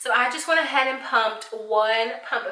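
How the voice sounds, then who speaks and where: There is noticeable background noise and audible room echo. A woman speaks at a moderate pace with a fairly high pitch and fairly even intonation. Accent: American. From Arkansas, US South. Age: 20s. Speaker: beauty vlogger. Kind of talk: makeup tutorial review. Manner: casual, chatty.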